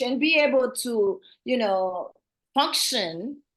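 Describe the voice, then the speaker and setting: With a strong Haitian accent, a woman speaks in a high pitch and lively intonation. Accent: heavy Haitian. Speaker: assisted living facility owner. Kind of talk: interview.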